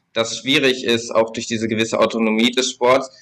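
The man's voice has a bright, sharp tone at a medium pitch. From Lower Saxony, Germany (Braunschweig). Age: 20s. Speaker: sports policy spokesperson for a political party. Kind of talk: podcast interview.

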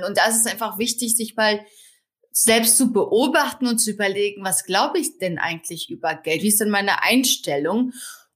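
In a very clean recording with a silent background, a woman with an ordinary speaking voice talks at a moderate pace in a fairly high pitch with lively intonation. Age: 30s. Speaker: finance blogger and author. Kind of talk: podcast interview.

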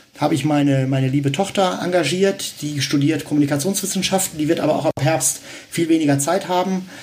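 A man's fairly quick speech, with ordinary pitch variation, sits over noticeable background noise. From Westphalia, Germany (Dortmund). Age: 50s. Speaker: founder of a civic association. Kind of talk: interview. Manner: hesitant, many fillers.

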